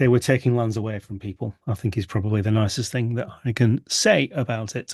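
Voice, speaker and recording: With a British accent, a man speaks at a moderate pace and medium pitch, with ordinary pitch variation, against a quiet background. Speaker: university lecturer. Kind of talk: video meeting introductions.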